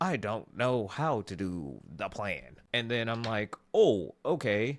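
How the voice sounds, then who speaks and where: A man speaks in a normal speaking voice with a fairly low pitch and lively intonation. The recording is very clean, with a silent background. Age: 40s. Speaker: motivational podcaster. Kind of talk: motivational monologue. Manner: conversational.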